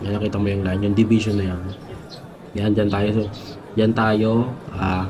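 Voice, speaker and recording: Monotone, flat delivery from a man with fairly low pitch at a moderate pace, with noticeable background noise and audible room echo. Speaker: video tutorial creator. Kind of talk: tutorial. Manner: halting, many fillers.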